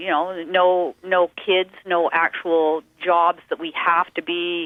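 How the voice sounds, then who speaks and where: A woman with a western Canadian accent. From western Canada. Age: 50s. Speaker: musician and painter. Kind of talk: radio interview.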